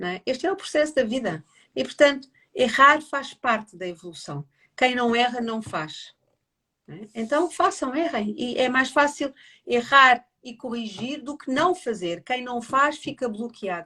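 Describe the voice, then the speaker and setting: Her voice is bright and sharp, a woman's high pitch carrying lively intonation at a fairly slow pace with big swings in loudness. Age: 60s. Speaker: family constellations therapist. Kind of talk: casual livestream conversation. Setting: online live stream.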